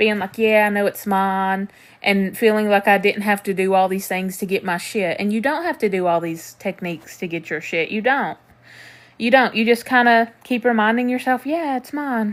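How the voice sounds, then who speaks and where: On a very clean recording with a silent background, a woman speaks with a slight Southern US accent. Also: medium pitch for a woman, ordinary pitch variation, moderate pace. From Tennessee. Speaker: manifestation coach. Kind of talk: live stream chat answering comments. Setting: TikTok live stream. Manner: casual, conversational.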